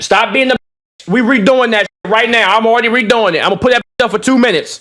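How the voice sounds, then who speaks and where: A man speaks in a raised, projected voice at an extremely high pitch and a very fast pace, his tone bright, sharp and animated. His loudness stays very even, and the sound is dry and close with no echo. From DMV area (DC/Maryland/Virginia). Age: 20s. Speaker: streamer. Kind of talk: live stream reaction chat.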